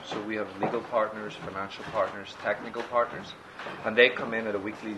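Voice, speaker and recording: A man with an Irish accent talks at a fairly quick pace and a medium pitch, his intonation fairly even, with audible room echo and noticeable background noise. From Ireland. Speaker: startup accelerator executive. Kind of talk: interview.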